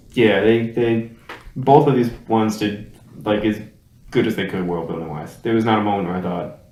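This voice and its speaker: A man with a fairly low pitch and ordinary pitch variation, with audible room echo. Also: long, frequent pauses. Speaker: movie review show co-host. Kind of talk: casual chat. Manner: animated.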